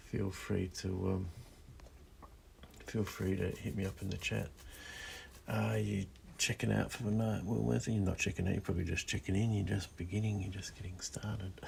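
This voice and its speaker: A soft-spoken man with a very deep, low pitch and vocal fry talks in a calm tone at a moderate pace. His pitch varies in an ordinary way, and he takes long, frequent pauses. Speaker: illustrator live streaming while drawing. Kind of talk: casual live stream chat while drawing. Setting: in a parked converted school bus at night. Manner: soft-spoken, calm; hesitant, many fillers.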